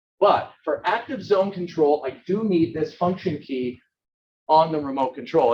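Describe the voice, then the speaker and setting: A loud man's voice at a high pitch. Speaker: product presenter. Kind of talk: product demo webinar. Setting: demo room with speaker system. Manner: loud, projecting.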